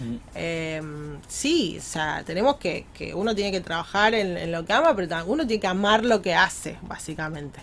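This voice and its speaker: A woman's voice with an Argentine accent, medium pitch, lively intonation and a moderate pace. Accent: Rioplatense Argentine Spanish. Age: 40s. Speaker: community ambassador for women's professional network. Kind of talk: radio interview. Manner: halting, many repetitions.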